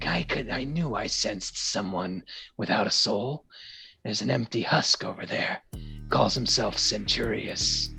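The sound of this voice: Quiet, raspy, breathy whispering from a man in a put-on character voice, with music in the background. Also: moderate pace.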